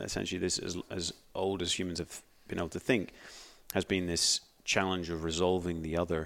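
Over a very clean recording with a silent background, a man with a Northern Irish accent talks at a fairly quick pace in a very deep, low pitch and a monotone, flat intonation. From Northern Ireland. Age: 30s. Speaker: astronomer. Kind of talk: casual interview.

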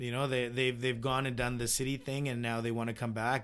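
A man speaks at a moderate pace with a Canadian accent, his intonation flat and monotone. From British Columbia, Canada (Vernon). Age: 30s. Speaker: home builder. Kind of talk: interview.

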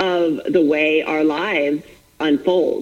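A woman with an American accent talks at a very slow pace over noticeable background noise. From Florida. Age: 40s. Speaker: author and fitness coach. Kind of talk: interview.

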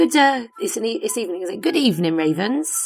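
Her pitch swinging widely, a woman talks fast at medium pitch with vocal fry and a slightly husky edge.

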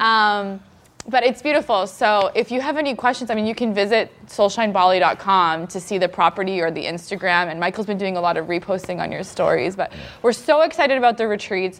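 A plain, everyday voice belongs to a woman with a Canadian accent, talking at a fairly quick pace and medium pitch with lively intonation. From Canada. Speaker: nurse and new mother. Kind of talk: casual chat. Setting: stage with audience.

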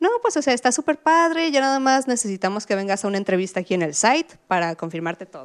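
Her pitch rises and falls across a very wide range. The woman keeps a fairly quick pace. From Mexico, Puebla. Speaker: frontend developer. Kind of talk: interview storytelling. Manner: hesitant with fillers.

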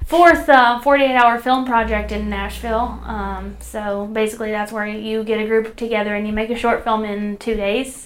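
With an ordinary speaking voice, a woman talks at a moderate pace with a fairly high pitch, fairly even intonation and hardly any pauses. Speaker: podcast co-host. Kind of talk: casual conversational podcast chat.

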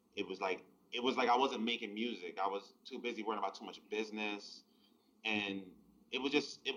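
A man with a New York accent, fairly low in pitch, bright and sharp in tone, very fast, with fairly even intonation. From New York City (the Bronx). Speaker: hip-hop and R&B producer. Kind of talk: casual interview chat.

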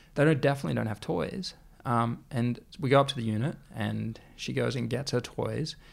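In an Australian accent, a man talks on a very clean recording with a silent background. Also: moderate pace. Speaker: clothing brand founder. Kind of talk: interview.

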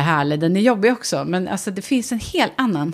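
The pace is very fast. A woman delivers it at a medium pitch. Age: 40s. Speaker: podcast co-host. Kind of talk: casual chat.

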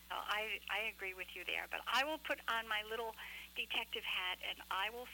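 Using a plain, everyday voice, the speaker keeps a moderate pace with ordinary pitch variation. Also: woman. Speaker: radio co-host. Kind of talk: casual chat. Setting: phone call.

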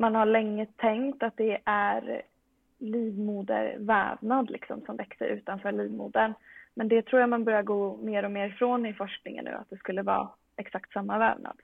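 Speaking at a moderate pace, a woman with an unremarkable speaking voice keeps a fairly high pitch and fairly even intonation while her loudness swings widely. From Sweden, Västerås. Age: 20s. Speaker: medical student and powerlifter. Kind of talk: casual interview.

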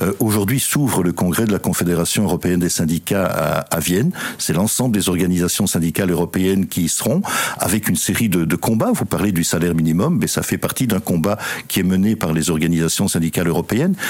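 A man with a very deep, low voice talks at a fairly quick pace with ordinary pitch variation and very even loudness over noticeable background noise. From Belgium. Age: 60s. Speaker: politician and former trade unionist. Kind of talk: interview. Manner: halting.

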